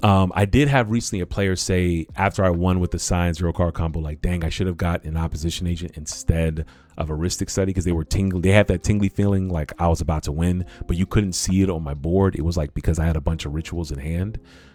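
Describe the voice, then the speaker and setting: Very fast and animated, a man with a very deep, low voice speaks with hardly any pauses. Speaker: cEDH content creator and streamer. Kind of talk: livestream deck tech. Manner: casual, animated.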